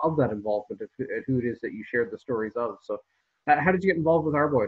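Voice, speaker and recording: The speaker has a Canadian accent and is heard over a quiet background. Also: man. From Canada. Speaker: historian host. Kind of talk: casual interview. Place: home room. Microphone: video call.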